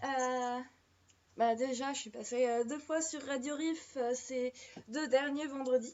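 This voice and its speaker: A woman speaks with a high voice. She takes a fairly slow pace. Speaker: live-stream storyteller. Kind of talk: live stream casual chat. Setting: live stream. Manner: diction problems with h and s sounds; hesitant, many fillers.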